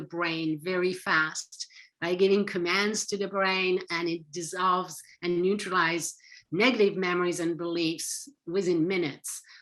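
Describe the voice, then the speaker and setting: A woman with a French accent, her medium-pitched voice bright and sharp in tone, at a fairly slow pace on a very clean recording with a silent background. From France. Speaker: psychotherapist and author. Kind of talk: interview.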